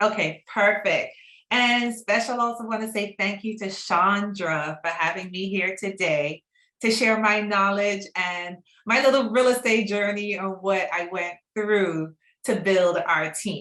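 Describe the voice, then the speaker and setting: A woman's medium-pitched voice, bright and sharp in tone, with ordinary pitch variation, a slight Trinidadian accent and a fairly slow pace. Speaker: real estate broker. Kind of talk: online class.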